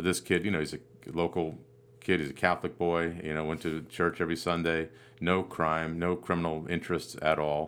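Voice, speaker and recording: A fairly quick delivery with an American accent and monotone, flat intonation. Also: man, very deep, low pitch for a man. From US Northeast, Vermont/New Hampshire. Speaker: podcast host. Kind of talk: casual interview chat. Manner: halting, many fillers.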